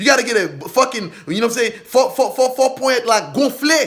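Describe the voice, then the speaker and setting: A man speaks in a raised, projected voice. His tone is animated and his pace fairly quick. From Haiti. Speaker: vodou spiritual practitioner. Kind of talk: boastful vlog monologue. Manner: loud.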